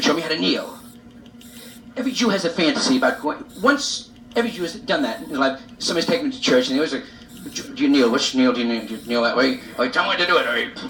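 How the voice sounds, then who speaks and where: Over noticeable background noise, a man talks at a very fast pace in a fairly high pitch, with very wide pitch swings. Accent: American. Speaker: stand-up comedian. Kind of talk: live stand-up comedy monologue. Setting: live club audience, vintage reel-to-reel recording.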